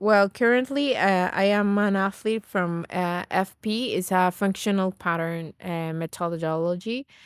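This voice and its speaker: In a very clean recording with a silent background and a dry, close sound with no echo, a woman speaks at a fairly slow pace with hardly any pauses, using a medium pitch and ordinary pitch variation. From Venezuela. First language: Spanish. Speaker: naturopath and nutrition coach. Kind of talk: podcast interview.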